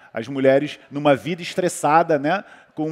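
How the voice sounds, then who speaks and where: A moderate pace in a Brazilian accent, with a dry, close sound and no echo. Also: man. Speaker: orthomolecular medicine doctor. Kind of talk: panel talk on health.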